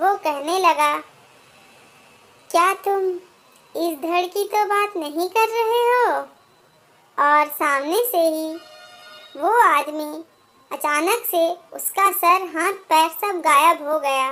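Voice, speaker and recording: Against music in the background, a woman with an extremely high pitch talks at a fairly slow pace with long, frequent pauses and ordinary pitch variation. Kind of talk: first-person horror story narration.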